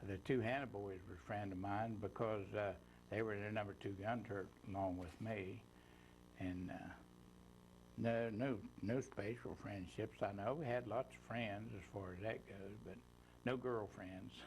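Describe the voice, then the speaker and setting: This man has an Appalachian accent and a fairly low pitch. He talks at a moderate pace, with long, frequent pauses. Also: ordinary pitch variation. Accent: Appalachian American. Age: 80s+. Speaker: war veteran. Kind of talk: oral history interview. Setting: studio. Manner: halting.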